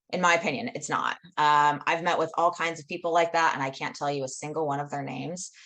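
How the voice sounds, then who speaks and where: Loud and very fast, a woman speaks in a very deep, low pitch with a bright, sharp tone. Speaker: professional organizer, business owner. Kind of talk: interview. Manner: animated.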